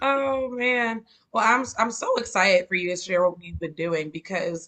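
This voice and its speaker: This voice, with a Georgia accent, keeps a moderate pace and ordinary pitch variation. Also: woman. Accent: Columbus, Georgia dialect. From US South, Columbus, Georgia. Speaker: interviewer. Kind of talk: casual interview.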